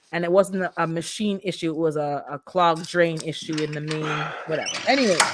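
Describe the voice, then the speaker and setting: Against noticeable background noise, a woman with a fairly low pitch speaks in an animated tone at a fairly quick pace, with ordinary pitch variation and hardly any pauses. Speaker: livestream host, landlord. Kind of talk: casual livestream chat.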